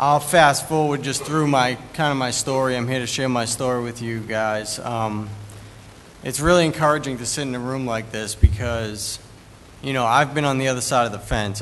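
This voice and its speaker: A man speaks with a Boston accent at medium pitch and a moderate pace, his intonation fairly even. Audible room echo and noticeable background noise fill the recording. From US Northeast, Boston. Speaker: recovering addict speaker. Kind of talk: testimony.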